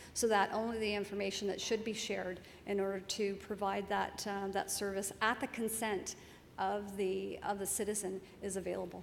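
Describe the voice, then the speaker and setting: A woman speaks fairly quickly in a flat, monotone delivery at a medium pitch. Room echo is audible. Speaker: senior public servant, keynote speaker. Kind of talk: conference Q&A answer.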